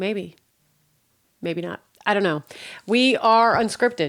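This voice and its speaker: The recording is very clean with a silent background, and the woman on it talks at a moderate pace using ordinary pitch variation. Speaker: podcast host. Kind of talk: casual solo podcast monologue. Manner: loud.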